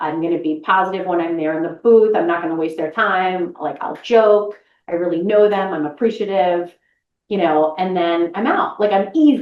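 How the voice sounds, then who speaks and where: A woman with an American accent has a normal speaking voice. She speaks at a moderate pace and medium pitch, with ordinary pitch variation. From Boston, US Northeast. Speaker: voice actress. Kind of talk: interview conversation.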